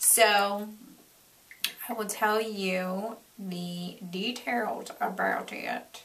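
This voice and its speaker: A woman with an American accent and a fairly high pitch, ordinary pitch variation, audible room echo and noticeable background noise. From Florida, US South. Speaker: beauty vlogger. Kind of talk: product review vlog; reading aloud. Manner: animated.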